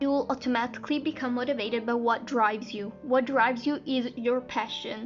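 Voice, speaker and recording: Music plays in the background as a woman speaks with hardly any pauses. Her pitch is high, and her intonation is monotone and flat. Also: fairly quick pace. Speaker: singer. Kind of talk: casual talk to camera.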